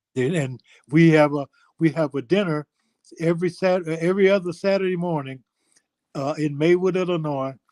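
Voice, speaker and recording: The speaker, with an American accent, keeps a fairly even intonation and leaves long, frequent pauses. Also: man, high pitch for a man, moderate pace. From Chicago. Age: 80s+. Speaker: former basketball player, guest. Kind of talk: casual interview chat.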